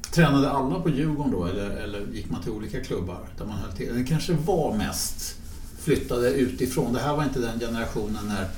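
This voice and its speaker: A man at medium pitch talks at a fairly quick pace with lively intonation. Noticeable background noise and audible room echo surround his voice. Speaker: podcast host. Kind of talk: casual chat.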